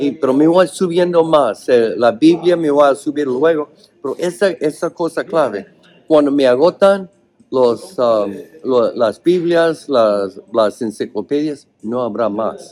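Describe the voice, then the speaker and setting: With music in the background, a man with an English accent speaks at a very slow pace in a fairly high pitch. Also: lively intonation. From US, Oregon. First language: English (speaking Spanish). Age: 60s. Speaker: cannabis cultivation author. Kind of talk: interview. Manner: halting, with many fillers.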